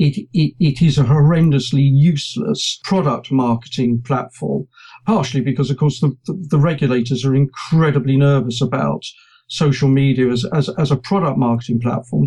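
A man's somewhat breathy, dark, mellow voice with a British accent, fairly high in pitch, at a moderate pace with ordinary pitch variation. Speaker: journalist and presentation trainer. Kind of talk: casual interview chat.

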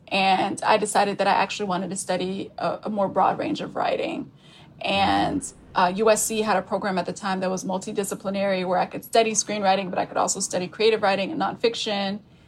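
A normal speaking voice with an American accent, fairly quick in pace, with ordinary pitch variation. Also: woman, medium pitch for a woman. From Texas (Spring, near Houston). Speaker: author. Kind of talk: casual chat.

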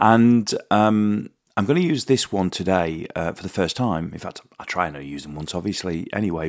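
A man with a British accent speaks at a moderate pace, his fairly low pitch carried by lively intonation. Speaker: podcast host. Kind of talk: casual monologue. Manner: halting.

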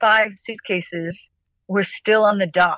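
A woman speaks with an American accent. The sound is dry and close, with no echo. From New York City. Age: 50s. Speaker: natural builder and cycle tourer. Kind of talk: interview. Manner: animated.

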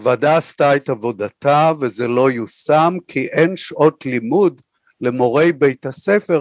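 A man at a very slow pace in a dry, close sound with no echo. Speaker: former education official and lecturer. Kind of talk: interview.

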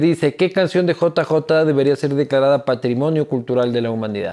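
Here is an unremarkable speaking voice from a man, fairly high in pitch. The pitch moves with ordinary variation. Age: 30s. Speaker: podcast host. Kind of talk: casual interview chat.

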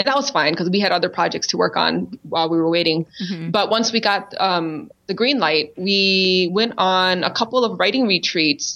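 This is a normal speaking voice with an American accent. The pitch varies in an ordinary way. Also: woman. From Minnesota. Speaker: spoken word poet. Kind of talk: casual chat.

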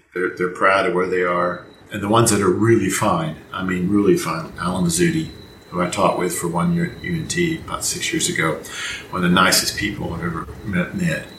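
Noticeable background noise and audible room echo surround this man. He talks at a moderate pace. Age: 60s. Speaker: trumpet professor. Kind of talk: interview.

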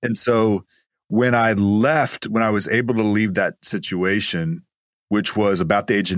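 In a very clean recording with a silent background and a dry, close sound with no echo, a man with an American accent speaks at a moderate pace, his fairly low pitch showing ordinary variation. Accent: East Texas, cleaned up, slight. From East Texas. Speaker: guest, business entrepreneur. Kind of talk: podcast interview, faith-based talk.

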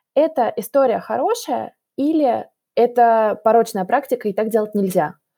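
Recorded very cleanly against a silent background, a woman speaks with a dark, mellow tone, a fairly high pitch and ordinary pitch variation. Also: moderate pace. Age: 20s. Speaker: podcast host, young mother. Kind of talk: interview. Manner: measured, uses filler sounds.

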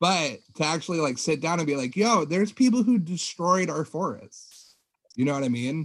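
At a moderate pace, a man with an American accent and a fairly high pitch speaks in a plain, everyday voice. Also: lively intonation. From Humboldt County, California. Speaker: podcast guest, cannabis grower. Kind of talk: casual chat.

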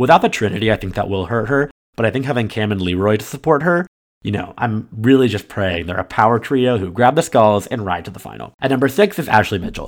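Over a very clean recording with a silent background, a man talks at a very fast pace and medium pitch with lively intonation and big swings in loudness. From US East Coast, Pittsburgh and North Carolina. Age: 20s. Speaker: podcast host. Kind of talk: solo casual commentary.

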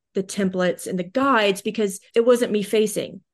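A woman speaks at a medium pitch with an American accent. Her intonation stays flat and monotone over a quiet background. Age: 40s. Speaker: digital marketing consultant. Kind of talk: interview.

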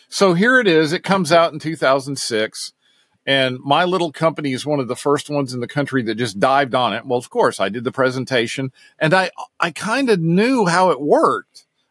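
Here is a man with a normal speaking voice and an American accent. He talks at a fairly quick pace in a fairly high pitch, with lively intonation. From US South, Knoxville, Tennessee. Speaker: technical services director and bike racing mechanic. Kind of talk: interview.

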